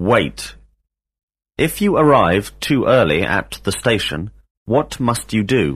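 On a very clean recording with a silent background, a man with vocal fry speaks very slowly at a fairly low pitch, taking long, frequent pauses, his pitch swinging very widely while his loudness stays very even. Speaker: English teacher. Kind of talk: language lesson drill. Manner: formal.

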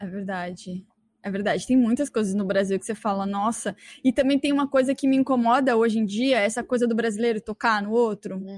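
A woman with a fairly high pitch talks at a fairly quick pace, somewhat breathy, with ordinary pitch variation and a dry, close sound with no echo. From Brazil. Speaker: podcast host. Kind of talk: casual chat.

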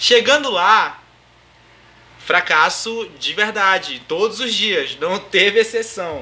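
Using a raised, projected voice pitched high, a man speaks at a very slow pace. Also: ordinary pitch variation. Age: 20s. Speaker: podcast host, DJ and music production student. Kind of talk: casual chat.

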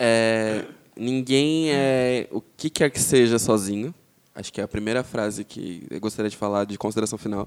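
A man with a normal speaking voice talks at medium pitch and a moderate pace, with ordinary pitch variation and big swings in loudness. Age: 20s. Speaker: advertising professional, podcast guest. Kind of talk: casual chat.

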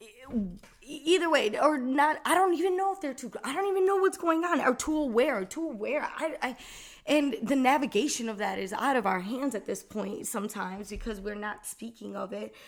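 A woman speaks in an animated tone at a high pitch, with very wide pitch swings and big swings in loudness. Her pace is fairly quick. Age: 20s. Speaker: podcast host. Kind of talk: casual monologue.

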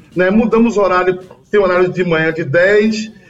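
A man's high-pitched voice. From Bahia, Brazil. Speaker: singer-songwriter. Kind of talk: interview.

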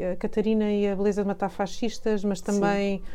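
Dark, mellow tone from a woman at a medium pitch. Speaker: cultural journalist and broadcaster. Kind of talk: interview.

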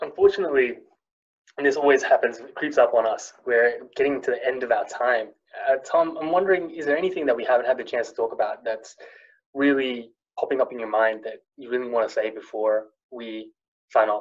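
A man speaks at a fairly quick pace with big swings in loudness. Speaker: podcast host. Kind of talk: casual interview.

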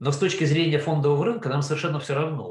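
Here is a man with a fairly high pitch. His voice is somewhat breathy. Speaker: investment fund founder. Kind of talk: interview.

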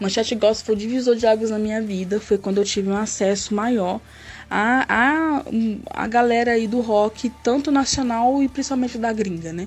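This woman uses a normal speaking voice at a moderate pace. Her pitch is fairly high. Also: ordinary pitch variation. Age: 30s. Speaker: rock fan, former radio show co-host. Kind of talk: recorded personal testimony.

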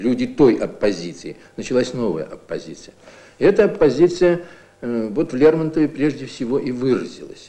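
At a moderate pace, a man with a dark, mellow tone and a fairly high pitch swings his pitch very widely, with vocal fry. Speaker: literature professor. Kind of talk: academic commentary in an interview. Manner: thoughtful, explanatory, somewhat halting, unscripted.

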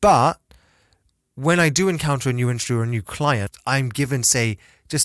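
On a very clean recording with a silent background, a man with a British accent comes across dry and close, with no echo. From Britain, half Chinese. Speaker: podcast co-host. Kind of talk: casual chat.

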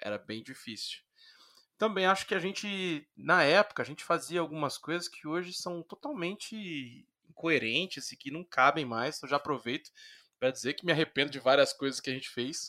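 A man speaks at a moderate pace with a fairly high pitch and lively intonation. His tone is bright and sharp, and his loudness swings widely. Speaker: comic book editor and writer. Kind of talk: casual interview chat. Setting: video call.

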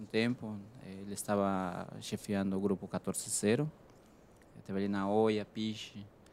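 A man with a Spanish accent at a fairly slow pace, on a very clean recording with a silent background. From Peru. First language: Spanish (speaking Portuguese). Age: 30s. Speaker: chef. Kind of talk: interview.

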